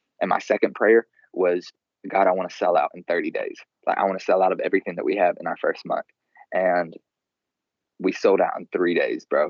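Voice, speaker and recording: Talking at a fairly quick pace with an American accent, a man leaves long, frequent pauses. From rural US South. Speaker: clothing brand founder. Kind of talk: casual interview. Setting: Skype call.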